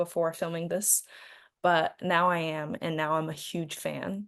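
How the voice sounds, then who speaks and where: In a Chinese accent, a woman speaks with a fairly low pitch. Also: quiet background. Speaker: actress. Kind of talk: interview.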